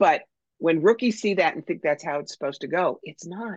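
Captured with a dry, close sound and no echo, a woman speaks at a fairly low pitch with very wide pitch swings. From New York. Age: 60s. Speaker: psychic medium. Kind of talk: casual interview chat.

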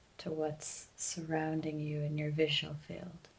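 A woman talks at a very slow pace with a very deep, low pitch. Her tone is calm and gentle, somewhat breathy. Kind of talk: guided meditation. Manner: slow, calm and gentle, with long pauses between instructions; soft-spoken and soothing.

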